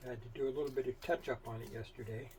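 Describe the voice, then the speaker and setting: Somewhat breathy, a man talks at a moderate pace. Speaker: sewing machine restorer. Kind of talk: casual tutorial talk to camera. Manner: rambling, hesitant, with long pauses.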